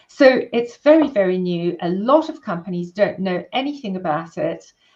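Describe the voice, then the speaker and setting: A woman speaks with a South African accent at a medium pitch. Her intonation is lively and her pace moderate. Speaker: workplace wellbeing consultant and therapist. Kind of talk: interview.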